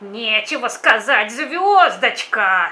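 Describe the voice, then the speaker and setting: In a put-on character voice, the speaker growls at a fairly high pitch and a very slow pace. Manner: hissing, sneering, grumbling.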